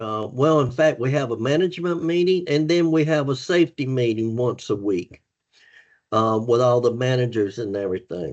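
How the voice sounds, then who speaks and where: He has a plain, everyday voice at a medium pitch for a man. His intonation is lively and his pace moderate. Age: 60s. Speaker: former truck driver turned safety manager. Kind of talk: podcast interview.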